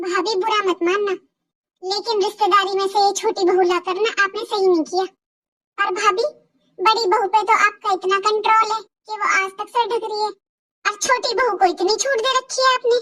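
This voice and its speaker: A woman's cartoonish character voice, extremely high in pitch, with fairly even intonation. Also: moderate pace. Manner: frank, familiar.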